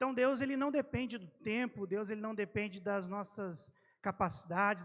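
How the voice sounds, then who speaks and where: The pace is moderate. Pitch variation is ordinary. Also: man. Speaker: preacher. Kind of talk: sermon.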